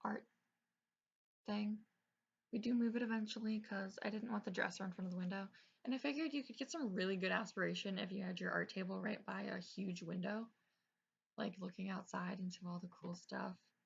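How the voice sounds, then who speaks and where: Ordinary pitch variation marks a voice that is somewhat breathy. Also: woman. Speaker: gaming YouTuber. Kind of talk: gameplay commentary. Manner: usually quiet, speaking up; casual, filler-heavy.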